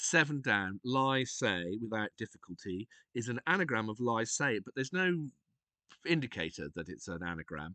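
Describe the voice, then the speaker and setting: With a British accent, a man speaks in a medium-pitched, bright, sharp tone with very wide pitch swings at a moderate pace. The sound is dry and close with no echo, over a quiet background. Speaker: streamer. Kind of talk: tutorial. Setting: live stream. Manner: soft-spoken; hesitant.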